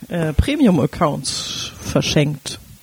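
A woman speaks very slowly, with noticeable background noise behind her voice. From Berlin. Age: 30s. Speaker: sex educator and podcast co-host. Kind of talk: casual chat.

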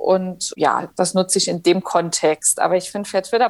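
At a moderate pace, a woman speaks in a plain, everyday voice with medium pitch. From Saarland, Germany. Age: 30s. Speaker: politician. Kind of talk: interview.

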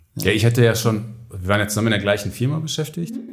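Audible room echo surrounds a man with a fairly low, somewhat breathy voice. He talks at a very fast pace. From Ruhr area, Germany. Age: 30s. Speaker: construction business founder. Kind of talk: podcast interview.

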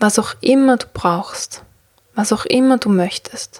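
A woman speaks very slowly at a fairly high pitch, somewhat breathy, in a gentle, soothing tone with ordinary pitch variation. The sound is dry and close, with no echo. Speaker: podcast host and meditation guide. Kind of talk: guided meditation. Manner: slow, soothing, calm; gentle, with long pauses.

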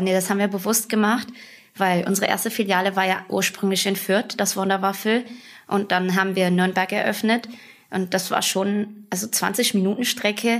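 A woman speaks at a moderate pace and medium pitch with monotone, flat intonation and very even loudness, over noticeable background noise. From western Germany, Bonn. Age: 20s. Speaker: food franchise owner. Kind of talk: casual interview.

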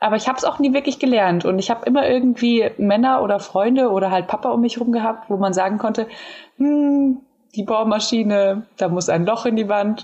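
Somewhat breathy and dark, mellow in tone, a woman with a fairly high pitch speaks at a fairly quick pace, her loudness very even and her pitch variation ordinary. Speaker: podcast co-host. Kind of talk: casual chat.

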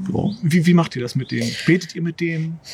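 With noticeable background noise behind him, a man speaks at a fairly quick pace. His pitch is high. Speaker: podcast host. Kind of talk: casual chat. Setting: outdoors in a garden.

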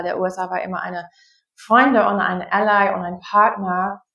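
Moderately paced speech from a woman, pitched in the middle of her range. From US Midwest, Wisconsin. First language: English (speaking German). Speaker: anthropologist. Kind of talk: online discussion, guest talk. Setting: video call. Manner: halting, many fillers.

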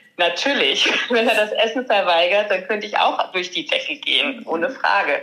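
A woman speaks at a moderate pace in a fairly high pitch, her loudness very even. Noticeable background noise runs underneath. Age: 30s. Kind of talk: interview.

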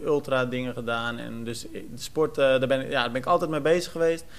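With a plain, everyday voice, a man speaks at a fairly quick pace. His intonation stays fairly even. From Netherlands, Almere. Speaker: podcast host, sports journalist. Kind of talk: casual chat.

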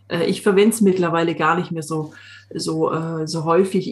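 A woman speaks in a somewhat breathy voice with a slight Swabian accent. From Swabian Jura, Swabia (southern Germany). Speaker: coach. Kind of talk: casual chat.

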